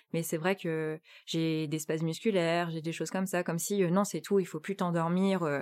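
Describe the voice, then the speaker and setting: Against a very clean recording with a silent background, a woman speaks at a moderate pace in a fairly low pitch, her intonation monotone and flat. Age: 20s. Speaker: interviewee training in human resources. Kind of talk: personal testimony. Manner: halting, many hesitations and repetitions.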